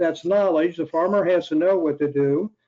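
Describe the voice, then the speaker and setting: A man with an ordinary speaking voice talks at a moderate pace. His pitch is fairly high and his intonation fairly even. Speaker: pest management expert. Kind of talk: panel answer.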